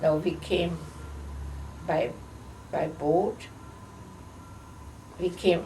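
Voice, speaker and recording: A woman with a fairly low voice speaks very slowly in a flat monotone, with long, frequent pauses and audible room echo. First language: not English. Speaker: holocaust survivor. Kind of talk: oral history interview. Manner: halting.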